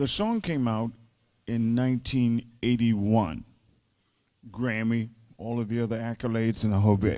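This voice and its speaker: Leaving long, frequent pauses, a man speaks at a moderate pace with a medium pitch, a dark, mellow tone and fairly even intonation. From US South, Mississippi (Greenville). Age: 70s. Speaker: songwriter and arranger. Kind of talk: panel discussion.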